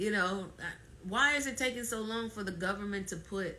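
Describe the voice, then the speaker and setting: A woman speaks at a fairly quick pace, with noticeable background noise and audible room echo around her. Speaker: fibroid awareness ambassador, live streamer. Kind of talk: live stream talk. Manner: emphatic, halting with repetitions.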